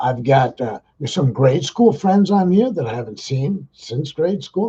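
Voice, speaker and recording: Somewhat breathy and dark, mellow in tone, this man's voice sits fairly high. It has very wide pitch swings. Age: 60s. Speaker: livestream vlogger, retired street worker. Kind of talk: casual livestream talk to viewers. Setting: livestream simulcast on Facebook and YouTube. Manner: halting, many fillers and repeats.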